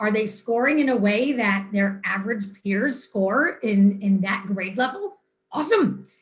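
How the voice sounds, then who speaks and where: Somewhat breathy, a woman talks at a fairly slow pace and a medium pitch with ordinary pitch variation. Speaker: school administrator presenting test data. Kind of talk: presentation to a school board.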